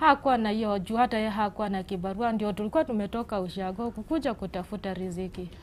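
Over light background noise, a woman at medium pitch talks at a fairly quick pace with ordinary pitch variation and hardly any pauses. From western Kenya, Vihiga; Kenya. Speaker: mother seeking help for sick child; guest. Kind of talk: TV interview testimony. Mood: sad, pleading. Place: studio. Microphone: lapel.

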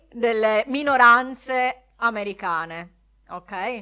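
Her voice is high-pitched, with a bright, sharp tone, as this woman speaks. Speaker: podcast co-host. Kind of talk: casual chat.

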